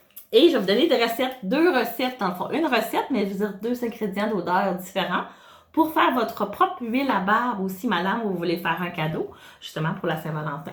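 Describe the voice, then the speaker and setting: A woman with a fairly high pitch talks at a fairly quick pace with very wide pitch swings, and the room echo is audible. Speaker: wellness consultant. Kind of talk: tutorial. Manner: hesitant, many filler sounds.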